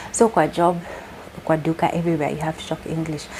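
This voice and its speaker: A woman's fairly low voice with a Kenyan accent, very fast pace, and noticeable background noise. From Kenya, Nairobi. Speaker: vlogger. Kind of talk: casual vlog talk. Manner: code-switching English and Swahili.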